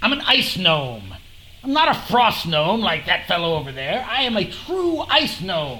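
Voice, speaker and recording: Over clear background noise, someone does a put-on character voice at a middle pitch and a moderate pace. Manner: pompous, talkative.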